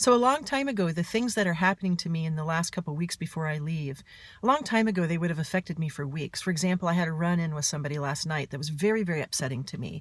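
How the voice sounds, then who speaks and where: Somewhat breathy and fairly low in pitch, a woman races along at a very fast pace with hardly any pauses on a very clean recording with a silent background. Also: lively intonation. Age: 50s. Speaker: author and mental health speaker. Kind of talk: personal vlog monologue.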